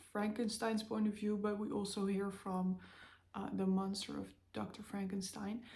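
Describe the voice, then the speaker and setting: With a non-native accent, a woman of medium pitch sounds somewhat breathy amid audible room echo. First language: not English. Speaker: book vlogger. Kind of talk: casual chat. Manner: halting, many fillers.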